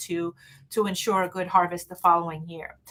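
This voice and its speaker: The pace is fairly quick as a woman speaks. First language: not English. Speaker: witchcraft teacher. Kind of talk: live stream talk. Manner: halting, many fillers.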